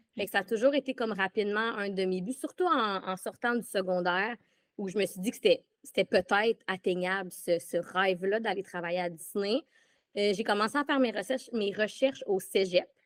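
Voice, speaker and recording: A woman speaks at a moderate pace and medium pitch with ordinary pitch variation, her dry, close sound free of echo on a very clean recording with a silent background. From Quebec. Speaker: former theme park employee. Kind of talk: casual interview. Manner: halting.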